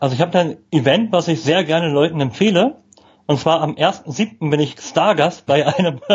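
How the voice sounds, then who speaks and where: The voice moves at a moderate pace with very even loudness and ordinary pitch variation. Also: man, fairly high pitch for a man. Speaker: communication trainer. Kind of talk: casual interview. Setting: live video stream.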